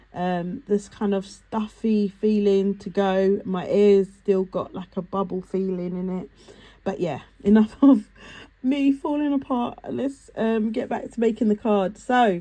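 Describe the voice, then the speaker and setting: This woman's voice has a dark, mellow tone and moves at a fairly slow pace. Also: medium pitch for a woman, ordinary pitch variation. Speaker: card making crafter. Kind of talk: tutorial. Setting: on camera at craft table. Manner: casual, slightly halting.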